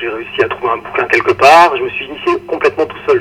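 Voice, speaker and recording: A man speaks over noticeable background noise. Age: 50s. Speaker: chess federation executive. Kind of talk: interview. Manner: halting.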